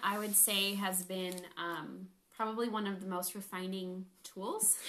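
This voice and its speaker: Monotone, flat delivery at a very slow pace in an American accent, over noticeable background noise. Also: woman. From California. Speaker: health coach. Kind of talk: casual chat.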